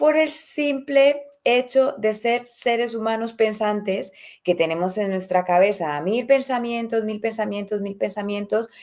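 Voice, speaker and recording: A woman's medium-pitched voice unfolds at a fairly slow pace. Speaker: podcast host, personal development coach. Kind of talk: motivational talk.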